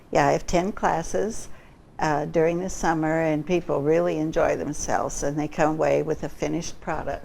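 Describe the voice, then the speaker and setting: Vocal fry runs through this woman's very deep, low voice as she speaks at a moderate pace with fairly even intonation. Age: 80s+. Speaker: artist. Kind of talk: interview. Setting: studio.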